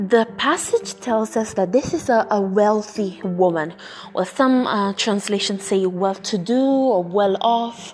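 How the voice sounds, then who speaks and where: A woman with an Italian accent speaks at a fairly slow pace amid noticeable background noise. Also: medium pitch for a woman, ordinary pitch variation. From Italy. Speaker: podcast host. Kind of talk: bible teaching podcast. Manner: hesitant, many fillers.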